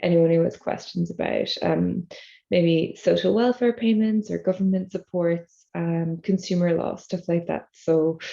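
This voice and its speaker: A woman with an Irish accent talks at a moderate pace in a fairly low, dark, mellow voice with fairly even intonation. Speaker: e-learning professional. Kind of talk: casual talk. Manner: speaking low.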